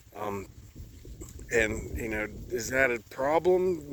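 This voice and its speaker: A man speaks with very wide pitch swings. There is noticeable background noise. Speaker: livestock farmer. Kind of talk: casual vlog talking to camera outdoors. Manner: relaxed, conversational with fillers.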